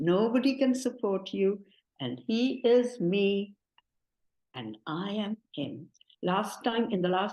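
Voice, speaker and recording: Speaking at a fairly slow pace, a woman at medium pitch has a dark, mellow tone and very wide pitch swings. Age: 70s. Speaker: devotee giving testimony. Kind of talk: testimony.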